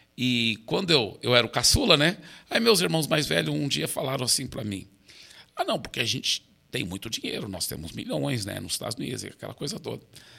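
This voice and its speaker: Talking at a fairly quick pace, a man with a medium pitch, a bright, sharp tone and vocal fry makes very wide pitch swings and big swings in loudness. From Brazil, raised by American missionary parents. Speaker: pastor. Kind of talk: interview conversation.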